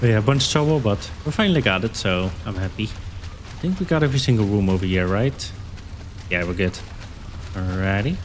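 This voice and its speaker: Over noticeable background noise, a man with a non-native accent speaks at a fairly quick pace, his fairly low voice carrying lively intonation. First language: not English. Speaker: gaming YouTuber. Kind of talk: gameplay commentary. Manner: casual, halting with fillers.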